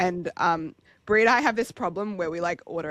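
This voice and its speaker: Speaking at a very fast pace, a woman keeps her tone animated. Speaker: podcast co-host. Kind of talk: casual chat.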